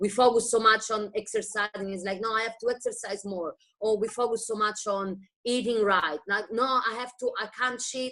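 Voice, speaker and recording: A woman speaks with an Italian accent at a fairly quick pace. Her pitch is fairly high. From Italy, Rome. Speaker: wellness business distributor. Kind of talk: testimony.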